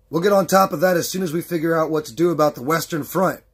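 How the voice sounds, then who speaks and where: Using a put-on character voice, a man talks at a very fast pace, high-pitched, raspy and raised to project. His loudness swings widely while his intonation stays fairly even. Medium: read story. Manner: steady.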